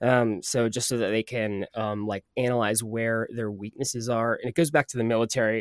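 A man with an unremarkable speaking voice talks at a medium pitch and moderate pace, with fairly even intonation and hardly any pauses. The sound is dry and close, with no echo. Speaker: podcast host and sound designer.

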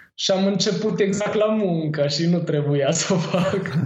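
A man talks at a fairly slow pace with a high pitch. Audible room echo surrounds his voice. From Romania, Târgoviște. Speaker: cannabis grower and seed shop owner. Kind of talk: casual chat.

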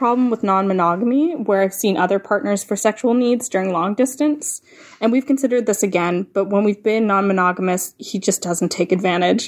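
Her normal speaking voice at a medium pitch, a woman talks at a fairly quick pace with lively intonation. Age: 20s. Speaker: caller. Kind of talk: voicemail question. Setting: phone message.

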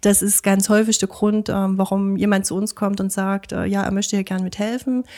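At a moderate pace and with hardly any pauses, a woman with a medium pitch and a dark, mellow tone speaks in a flat monotone. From Chemnitz, Saxony. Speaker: animal shelter volunteer. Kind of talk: interview. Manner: hesitant, many fillers.

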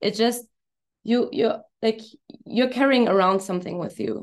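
With a German accent, a woman speaks at a moderate pace with fairly even intonation. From Germany. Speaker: hypnosis coach. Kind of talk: casual interview. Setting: video call. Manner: halting.

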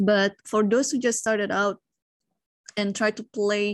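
In a very clean recording with a silent background and a dry, close sound with no echo, a woman with an Indonesian accent talks at medium pitch and a moderate pace. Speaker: professional chess player. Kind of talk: casual interview.

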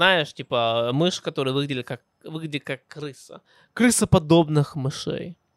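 A man's fairly high voice at a fairly slow pace, with ordinary pitch variation and a dry, close sound with no echo. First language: English (speaking Russian). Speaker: podcast host. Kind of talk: personal storytelling monologue. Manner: halting, self-correcting.

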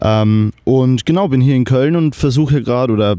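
A man's dark, mellow voice with a Bavarian accent, at a moderate pace. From Lower Bavaria, Germany (Kelheim). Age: 20s. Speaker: videographer and media student. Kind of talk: casual chat. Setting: remote recording over the internet. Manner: animated, enthusiastic; halting, many fillers.

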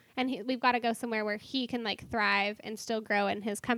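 The recording is very clean, with a silent background and a dry, close sound with no echo. The speech moves at a fairly quick pace with ordinary pitch variation. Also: woman. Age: 20s. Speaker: coffee stand worker. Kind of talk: casual chat. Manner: loud.

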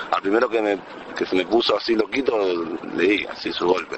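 Over noticeable background noise, a man speaks very fast at a medium pitch. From Dominican Republic. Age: 20s. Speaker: rapper. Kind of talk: interview.

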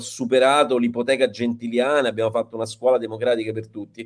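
At a fairly quick pace, a man's voice swings very widely in pitch. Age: 40s. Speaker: teacher and writer. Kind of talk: online panel discussion.

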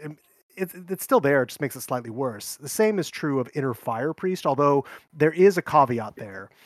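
A man talks in an ordinary speaking voice at a moderate pace, fairly high in pitch with lively intonation and big swings in loudness. The recording is very clean with a silent background and a dry, close sound with no echo. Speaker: guest, card game player. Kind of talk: casual chat.

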